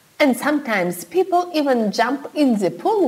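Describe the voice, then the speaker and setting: A woman's pitch swings very widely as she talks at a fairly slow pace, with noticeable background noise behind her. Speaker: wedding planner. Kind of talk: vlog monologue.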